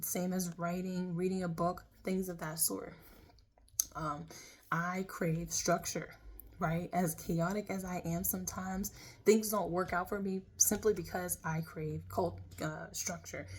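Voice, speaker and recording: A woman's fairly low, monotone voice with flat intonation at a fairly slow pace. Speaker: tarot reader. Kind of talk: tarot reading. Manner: loud.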